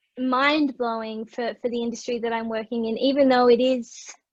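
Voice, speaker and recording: A high-pitched woman's voice with an Australian accent and fairly even intonation. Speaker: digital marketer. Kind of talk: casual chat.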